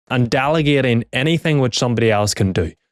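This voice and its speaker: With a Northern Irish accent and lively intonation, a man talks at a fairly quick pace in a very clean recording with a silent background and a dry, close sound with no echo. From Northern Ireland. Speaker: business coach. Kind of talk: talking-head tutorial. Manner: animated.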